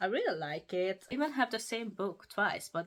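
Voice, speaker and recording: A woman talks in a Hungarian accent at a fairly quick pace. Her pitch swings very widely. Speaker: book YouTuber. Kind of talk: casual show-and-tell review.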